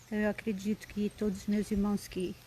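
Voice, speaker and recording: A soft-spoken woman with a Brazilian accent at a fairly quick pace. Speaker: lay preacher. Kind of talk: live-stream devotional talk. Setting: live stream.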